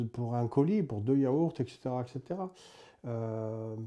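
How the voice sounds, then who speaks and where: His voice has a dark, mellow tone, and this man speaks at a medium pitch with ordinary pitch variation. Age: 60s. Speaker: former prisoner. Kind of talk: testimony. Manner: hesitant, many fillers.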